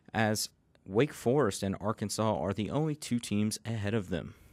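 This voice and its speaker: An ordinary speaking voice at a moderate pace, with ordinary pitch variation. The recording is very clean, with a silent background. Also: man. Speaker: college radio sports reporter. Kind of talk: radio sports news broadcast read. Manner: polished, upbeat broadcast delivery.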